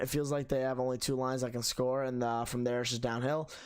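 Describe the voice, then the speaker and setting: A man at medium pitch and a very fast pace, in a very clean recording with a silent background. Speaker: sports fan reaction streamer. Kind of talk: live stream chat reading viewer comments.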